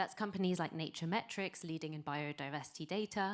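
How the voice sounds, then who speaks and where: On a very clean recording with a silent background, a woman speaks at a fairly low pitch, fairly quickly and with fairly even intonation. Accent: British. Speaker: venture capital investor. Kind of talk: pitch presentation.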